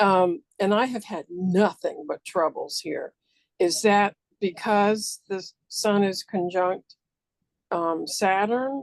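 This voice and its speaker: A woman's very slow speech at a medium pitch with ordinary pitch variation, the sound dry and close with no echo. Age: 60s. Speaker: audience member. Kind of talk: casual chat. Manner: halting.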